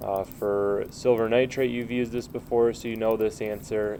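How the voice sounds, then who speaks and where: Noticeable background noise behind a man's medium-pitched voice, dark and mellow in tone, with fairly even intonation. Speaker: chemistry teacher. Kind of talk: tutorial. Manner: halting, many filler uhs.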